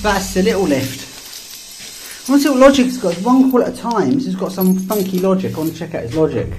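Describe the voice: A man speaks at a fast pace in a high pitch, his tone slightly mellow, with audible room echo. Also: lively intonation.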